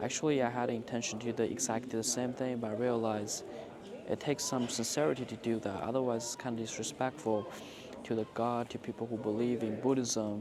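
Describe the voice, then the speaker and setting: Noticeable background noise surrounds a man talking at a very fast pace. His pitch is medium and his intonation fairly even. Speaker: travel vlogger. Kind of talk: travel vlog narration.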